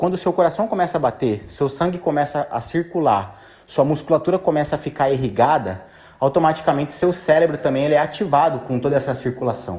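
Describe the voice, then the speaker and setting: This man talks at a fairly quick pace and fairly high pitch, with an animated tone and lively intonation. The recording is very clean with a silent background. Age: 30s. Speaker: fitness coach. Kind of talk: motivational voice message. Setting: gym.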